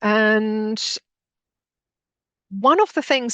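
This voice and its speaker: Over a quiet background, a woman with a Finnish accent uses lively intonation in a dry, close sound with no echo. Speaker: educator, postgraduate director. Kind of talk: webinar presentation. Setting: video call webinar. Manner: hesitant, many fillers.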